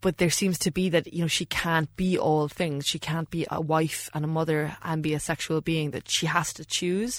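A woman speaks at a moderate pace with a very deep, low pitch. Her intonation is fairly even, with hardly any pauses. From Ireland, West Cork. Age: 30s. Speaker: author. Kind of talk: casual interview. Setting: studio.

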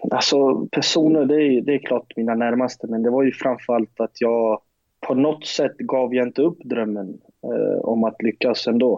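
Using a plain, everyday voice, a man speaks with fairly even intonation and very even loudness. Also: medium pitch for a man, moderate pace. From Sweden, Skåne (Lund). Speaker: professional footballer. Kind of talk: interview.

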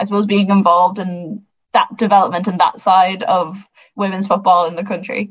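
A woman with an Irish accent speaks at a medium pitch. Her voice is somewhat breathy and her pace moderate. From Ireland, Sligo. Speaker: podcast host. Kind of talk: casual chat.

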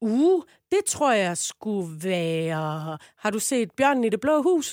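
A fairly high-pitched woman's voice with very wide pitch swings, dry and close with no echo, on a very clean recording with a silent background. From Southern Jutland, Denmark. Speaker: comedian. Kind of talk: casual chat.

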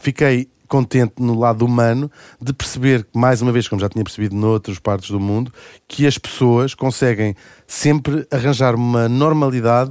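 In an ordinary speaking voice, a man talks at medium pitch and a moderate pace with fairly even intonation, in a very clean recording with a silent background and a dry, close sound with no echo. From Brazil (Rio de Janeiro). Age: 40s. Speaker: radio host and author. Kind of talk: casual chat.

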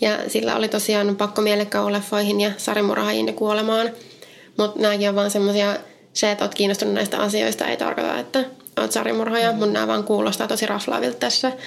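A woman's very fast speech at a very even loudness amid noticeable background noise. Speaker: podcast co-host. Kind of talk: true crime storytelling chat.

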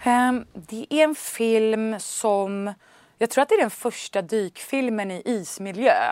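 Delivery is very slow, with ordinary pitch variation and big swings in loudness. The recording is very clean, with a silent background and a dry, close sound with no echo. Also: woman, fairly high pitch for a woman. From Stockholm, Sweden. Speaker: actress and film director. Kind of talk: interview. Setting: studio.

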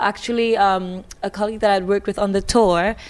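A woman speaks with a Trinidadian accent at a medium pitch. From Trinidad and Tobago. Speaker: musical theatre singer. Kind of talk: casual chat. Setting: backstage at a concert venue. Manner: excitable.

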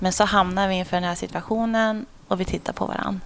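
Fairly even intonation from a woman with a medium pitch, at a fairly quick pace. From Sweden, Sundsvall, later Umeå and Uppsala. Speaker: police officer. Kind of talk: casual interview. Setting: at home.

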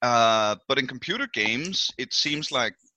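Speaking at a fairly slow pace, a man with a Danish accent uses ordinary pitch variation. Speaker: podcast host. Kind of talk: casual chat.

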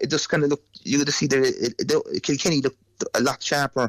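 A man speaks in a normal speaking voice at a fairly high pitch, with a dry, close sound and no echo. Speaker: GAA pundit. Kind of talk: sports analysis interview.

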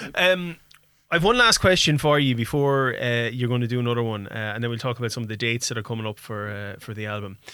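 Talking at a very fast pace, a man with an Irish accent has a bright, sharp tone at medium pitch. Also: ordinary pitch variation. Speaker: radio host. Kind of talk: casual radio interview. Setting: radio studio.

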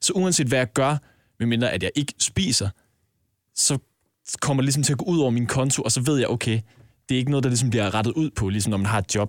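Talking at a very fast pace with very even loudness, a man leaves long, frequent pauses in a dry, close sound with no echo. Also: medium pitch for a man, ordinary pitch variation, very clean recording, silent background. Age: 20s. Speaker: podcast co-host, intern. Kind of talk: casual chat.

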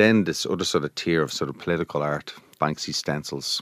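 With a Dublin accent, a man talks in a very deep, low voice with ordinary pitch variation and a dry, close sound with no echo. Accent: Dublin Irish. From Dublin, Ireland. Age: 40s. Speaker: visual artist. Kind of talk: casual interview. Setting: studio. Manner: relaxed.

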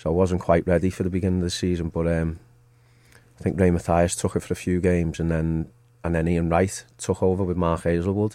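The man's pitch is very deep and low, his tone dark and mellow. He talks at a fairly quick pace. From Merseyside, Liverpool. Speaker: football manager, former player. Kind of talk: casual interview. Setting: studio.

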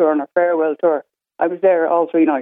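In an Irish accent, a woman speaks with a fairly low pitch. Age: 60s. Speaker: caller. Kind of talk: casual chat. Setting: phone call.

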